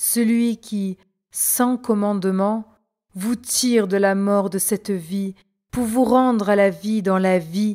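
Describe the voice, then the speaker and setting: Speaking at a very slow pace, a woman at medium pitch uses a dark, mellow tone that is also solemn and gentle, with ordinary pitch variation. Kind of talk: devotional reading aloud of mystical text, first-person as Mary and the Spirit. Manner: slow, solemn, reverent, gentle, tender cadence.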